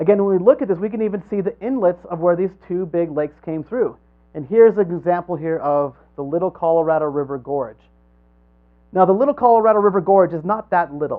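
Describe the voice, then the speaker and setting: Speaking at a very fast pace, a man with a high-pitched voice uses lively intonation. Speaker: creationist speaker on geology. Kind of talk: lecture. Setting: church hall with live audience.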